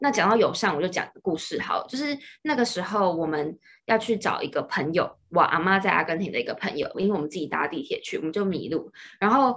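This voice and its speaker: Very wide pitch swings run through a woman's medium-pitched voice as she talks at a very fast pace. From Taiwan. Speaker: student. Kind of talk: casual chat.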